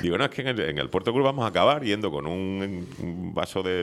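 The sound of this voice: A man speaks with a low pitch and big pitch swings. His tone is fairly bright and his pace fairly quick.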